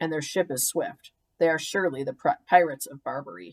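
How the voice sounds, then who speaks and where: A put-on character voice, gruff and growling, at a middle pitch. It moves at a fairly quick pace. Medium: read story. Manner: gruff, growling.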